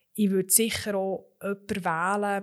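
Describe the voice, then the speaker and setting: The woman's voice is at medium pitch. She talks at a moderate pace. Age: 30s. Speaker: lawyer and managing director. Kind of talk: interview.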